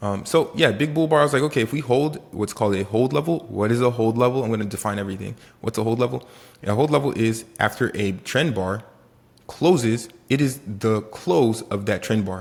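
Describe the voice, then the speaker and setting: A man with a Haitian accent speaks at a medium pitch and a fairly quick pace. His tone is animated, with ordinary pitch variation. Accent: Haitian Caribbean. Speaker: day trader. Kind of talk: trading tutorial vlog. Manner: casual and animated.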